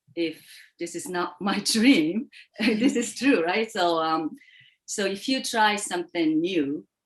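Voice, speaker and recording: A woman speaks very slowly in a Japanese accent. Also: medium pitch for a woman, lively intonation. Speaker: contest speaker. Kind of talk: interview. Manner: halting.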